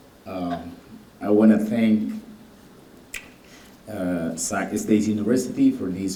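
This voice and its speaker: Through audible room echo, a man with a non-native accent speaks at a very slow pace in a fairly low voice. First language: Garifuna. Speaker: doctor, keynote speaker. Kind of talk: keynote speech.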